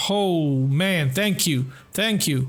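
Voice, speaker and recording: A man talks in a fairly high, somewhat breathy voice with ordinary pitch variation. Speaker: gaming YouTuber. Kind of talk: gameplay commentary. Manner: quiet.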